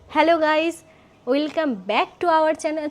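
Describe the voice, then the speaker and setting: Putting on a character voice, a woman speaks at a moderate pace in an extremely high, shaky pitch. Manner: nervous and hesitant.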